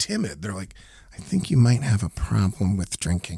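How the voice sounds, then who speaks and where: At a moderate pace, a dark, mellow voice with vocal fry moves through very wide pitch swings, captured on a very clean recording with a silent background and a dry, close sound with no echo. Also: man. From US military family, moved around. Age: 50s. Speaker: radio host. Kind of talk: interview testimony. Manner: halting, repeats words.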